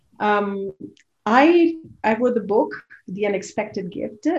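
A woman with an Italian accent talks very slowly in a fairly high, somewhat breathy voice. Her intonation is lively. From Italy. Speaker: leadership coach and author. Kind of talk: interview.

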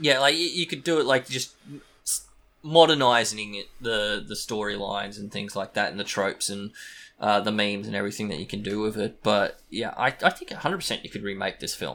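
In an Australian accent, a man speaks at a fairly quick pace with a bright, sharp tone, a fairly low pitch and lively intonation, on a very clean recording with a silent background. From Australia, small country town. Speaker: podcaster. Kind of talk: casual chat.

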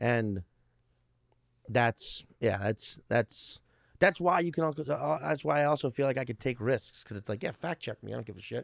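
Vocal fry marks a man's medium-pitched voice in a very clean recording with a silent background. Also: lively intonation, moderate pace. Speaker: stand-up comedian. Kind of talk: casual interview. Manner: animated, profane storyteller.

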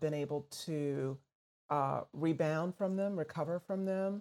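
A woman with an ordinary speaking voice and a fairly low pitch talks at a fairly slow pace with ordinary pitch variation on a very clean recording with a silent background. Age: 50s. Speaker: radio host and entrepreneur. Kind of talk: casual interview.

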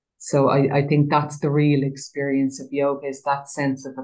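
A woman with an Irish accent speaks in a very deep, low voice, her intonation flat and monotone. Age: 50s. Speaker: trainee prison chaplain and yoga teacher. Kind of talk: guided meditation; interview conversation.

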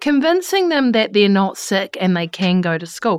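On a very clean recording with a silent background, a woman with a New Zealand accent speaks at a moderate pace with very wide pitch swings. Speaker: podcast host. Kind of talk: interview.

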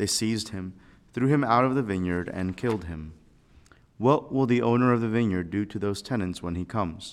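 On a very clean recording with a silent background, a man with an ordinary speaking voice talks fairly quickly at a fairly low pitch with ordinary pitch variation. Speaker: priest giving homily. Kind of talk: homily. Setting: chapel. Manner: fervent, earnest, pausing.

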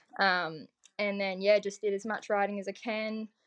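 In an Australian accent, a woman speaks at medium pitch and a moderate pace. The sound is dry and close, with no echo. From Victoria, Australia (Otways region). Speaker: motocross and desert racer. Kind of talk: casual chat.

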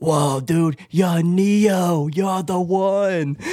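Using a put-on character voice, a man speaks in a high register.

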